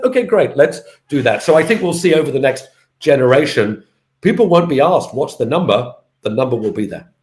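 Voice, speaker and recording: A man with a British accent talks at a very fast pace, his pitch swinging very widely. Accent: UK. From UK. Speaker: fintech company founder and CEO. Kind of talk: interview.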